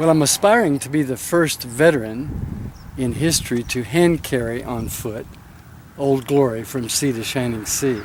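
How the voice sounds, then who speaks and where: A man with an American accent speaks at a moderate pace and medium pitch, with ordinary pitch variation. Noticeable background noise sits behind him. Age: 60s. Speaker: pastor and war veteran on a cross-country walk. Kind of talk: news interview. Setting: outdoors by a highway.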